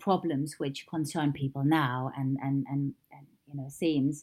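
Her words come at a fairly slow pace. The woman has a German accent. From East Germany. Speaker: theatre designer. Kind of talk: interview. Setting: remote recording during lockdown.

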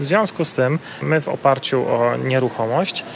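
Noticeable background noise fills the recording. The speaker's pitch moves in an ordinary way. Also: man. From Silesia, Poland. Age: 30s. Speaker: real estate investor and debt-relief business owner. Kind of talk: interview.

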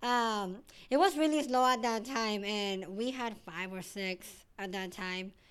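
In a Mexican accent, a woman speaks. The recording is very clean, with a silent background. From Mexico, Sinaloa. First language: Spanish. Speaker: hair salon manager. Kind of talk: casual interview.

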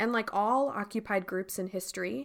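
Over a silent background in a very clean recording, a woman with an unremarkable speaking voice talks fairly quickly at a medium pitch with ordinary pitch variation. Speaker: podcast announcer and devotional speaker. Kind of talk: announcement and devotional talk.

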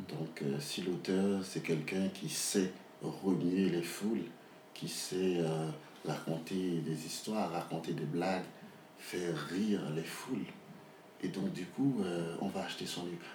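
At a very slow pace with long, frequent pauses, a man with a very deep, low pitch speaks in fairly even intonation over audible room echo and noticeable background noise. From Haiti, Port-au-Prince. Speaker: novelist. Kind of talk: interview. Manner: halting, with many repetitions and fillers.

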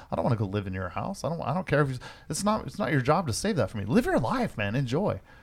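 A man speaks at a very fast pace in a medium pitch with vocal fry. His pitch swings very widely. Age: 50s. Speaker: podcast co-host. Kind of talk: casual chat. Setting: studio. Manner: animated.

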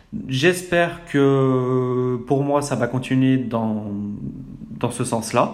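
A man with a medium pitch and ordinary pitch variation speaks at a very slow pace, with audible room echo around him. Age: 20s. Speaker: podcaster. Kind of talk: personal monologue. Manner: hesitant, many fillers.

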